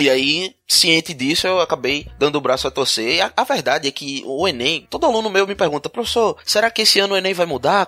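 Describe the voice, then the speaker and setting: Very fast talk with lively intonation, dry and close with no echo. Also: man. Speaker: teacher and podcast host. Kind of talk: casual chat.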